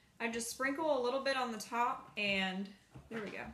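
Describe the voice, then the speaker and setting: There is audible room echo and light background noise as a woman speaks with ordinary pitch variation. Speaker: beauty vlogger. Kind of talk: casual vlog chat. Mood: relaxed, chatty. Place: home room. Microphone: phone near.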